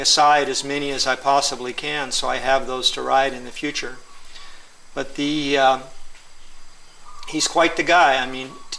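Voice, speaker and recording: Noticeable background noise sits behind a man speaking at a moderate pace with fairly high pitch and a monotone, flat intonation. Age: 60s. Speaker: surfer and customer of the shaper. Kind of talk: interview.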